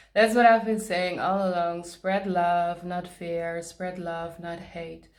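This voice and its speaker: With a non-native accent, a woman speaks very slowly in a fairly low, monotone, flat voice, her loudness swinging a lot. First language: not English. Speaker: tarot reader. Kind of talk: tarot card reading. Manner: halting, pauses to search for words; casual, conversational.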